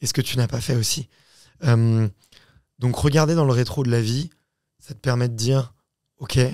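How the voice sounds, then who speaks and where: A man speaks in a dark, mellow tone with fairly even intonation, leaving long, frequent pauses. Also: medium pitch for a man, moderate pace, big swings in loudness. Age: 30s. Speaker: podcast host and founder. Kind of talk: casual chat. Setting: studio.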